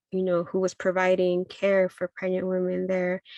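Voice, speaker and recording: A woman with a Spanish accent at a medium pitch, in a dry, close sound with no echo over a quiet background. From Mexico, Jalisco. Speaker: midwife. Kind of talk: talk sharing personal story. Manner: halting, many fillers.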